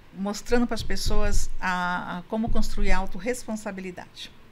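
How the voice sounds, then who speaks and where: There is audible room echo around a woman's voice. She speaks at a moderate pace with fairly even intonation. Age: 60s. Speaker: couples therapist and women's coach. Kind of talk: podcast interview.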